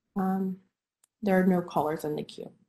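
This woman's voice has a dark, mellow tone at medium pitch. It is somewhat breathy. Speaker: commission clerk. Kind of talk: formal meeting procedure. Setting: video call.

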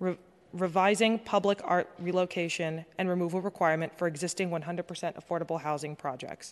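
A woman with an unremarkable speaking voice, medium pitch and fairly even intonation, talking at a fairly quick pace against a quiet background. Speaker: legislative aide. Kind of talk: formal presentation. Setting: council chamber.

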